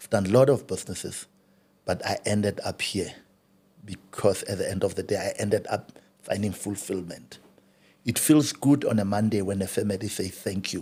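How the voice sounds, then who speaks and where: A man speaks in a fairly low voice with a somewhat breathy quality. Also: ordinary pitch variation, moderate pace. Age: 50s. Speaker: funeral business owner. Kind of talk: interview.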